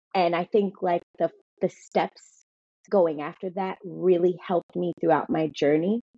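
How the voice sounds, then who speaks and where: Fairly slow and fairly even in intonation, a woman speaks in a normal speaking voice at a fairly low pitch. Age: 30s. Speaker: fitness trainer and cancer survivor. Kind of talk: testimony.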